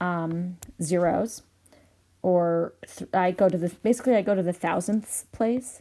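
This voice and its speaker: With a plain, everyday voice, a woman speaks fairly slowly at a medium pitch with ordinary pitch variation, in a very clean recording with a silent background. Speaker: math teacher. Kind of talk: tutorial. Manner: frequent filler ums.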